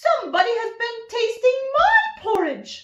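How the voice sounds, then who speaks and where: A woman does a squeaky, put-on character voice, extremely high in pitch, and talks fairly slowly. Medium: read story.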